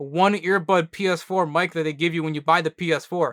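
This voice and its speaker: Recorded very cleanly with a silent background and a dry, close sound with no echo, a man speaks with a high pitch and a bright, sharp tone. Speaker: gaming YouTuber. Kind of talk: casual commentary reacting to old video. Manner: casual with filler words and stammering.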